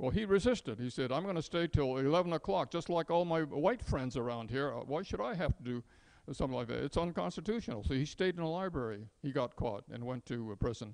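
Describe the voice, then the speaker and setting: An unremarkable speaking voice from a man with an American accent, fairly high pitch, lively intonation and a fairly quick pace with hardly any pauses, over a quiet background. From San Francisco, US West Coast; California. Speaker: retired engineer and speaker on wartime incarceration; speaker. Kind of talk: public talk. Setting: museum event with audience. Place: hall.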